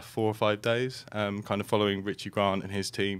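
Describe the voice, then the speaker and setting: The man's pitch is fairly low. He speaks at a moderate pace. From England, London. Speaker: filmmaker on a soccer documentary series. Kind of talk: casual interview. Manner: hesitant, many fillers.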